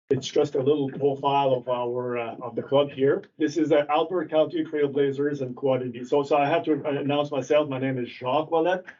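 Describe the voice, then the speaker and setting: Over noticeable background noise, a man speaks fairly quickly with hardly any pauses, at a fairly high pitch and with fairly even intonation. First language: French. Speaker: ATV club representative. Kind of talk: presentation to town council. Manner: halting.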